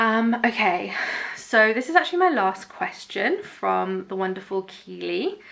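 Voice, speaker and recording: A woman with a British accent speaks at a fairly slow pace. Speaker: YouTuber. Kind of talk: casual Q&A chat. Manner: animated.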